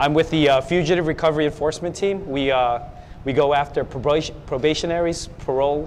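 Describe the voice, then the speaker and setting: Noticeable background noise sits behind a voice with an American accent and fairly even intonation. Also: man. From US, San Francisco area. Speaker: police officer. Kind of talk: TV interview.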